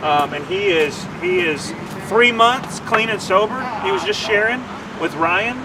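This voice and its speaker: Over noticeable background noise and audible room echo, a man talks at a fairly slow pace with lively intonation. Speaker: nonprofit development officer. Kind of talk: livestream commentary. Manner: halting, stumbling over words.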